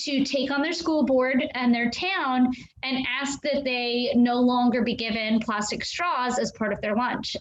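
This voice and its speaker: A loud, high-pitched woman at a moderate pace. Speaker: aquarium educator. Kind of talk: live stream Q&A. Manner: hesitant with many fillers.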